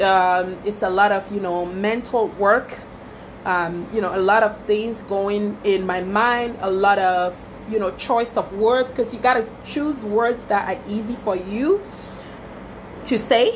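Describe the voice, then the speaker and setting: A woman with a West African accent speaks at a fairly slow pace in a medium pitch. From Togo, West Africa. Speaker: small business owner, wedding planner. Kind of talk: casual Facebook live talk. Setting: Facebook live video. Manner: chatty, many fillers.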